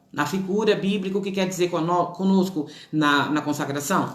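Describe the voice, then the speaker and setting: A woman's medium-pitched voice with ordinary pitch variation, plus audible room echo and noticeable background noise. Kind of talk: religious teaching. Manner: fast.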